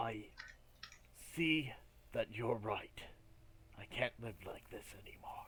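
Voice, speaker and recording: A man whispers in a put-on character voice at a fairly slow pace. Long, frequent pauses break it up, and background noise is clearly heard. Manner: whispering.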